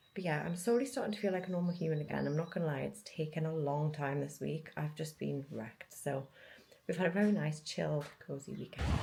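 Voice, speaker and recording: Her pitch is very deep and low, with a dark, mellow tone and a somewhat breathy quality. The woman speaks at a very fast pace. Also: ordinary pitch variation. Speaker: lifestyle vlogger. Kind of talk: casual vlog chat. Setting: outdoors by the quay.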